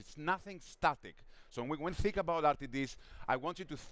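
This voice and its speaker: A man with a Greek accent and lively intonation. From Greece. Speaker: drinks industry analyst. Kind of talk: conference talk. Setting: stage with audience.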